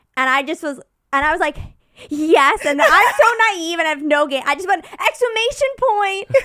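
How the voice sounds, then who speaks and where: The voice is raised and projected, bright and sharp, with an animated tone and very wide pitch swings. The pace is moderate, broken by long, frequent pauses. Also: woman, extremely high pitch for a woman. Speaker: podcast guest. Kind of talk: casual chat.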